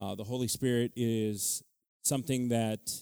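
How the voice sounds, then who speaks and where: A man speaks in a dark, mellow tone. The recording is very clean and the background is silent. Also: dry, close sound with no echo. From Utah, Mexican-American family. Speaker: preacher. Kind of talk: sermon. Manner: animated.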